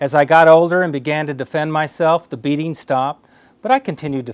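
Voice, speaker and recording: In a dry, close sound with no echo, a man with an American accent talks in an ordinary speaking voice. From Oklahoma, US (Cuban-born). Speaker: zoo director, association board chair. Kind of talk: prepared speech. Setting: office, recorded for online conference.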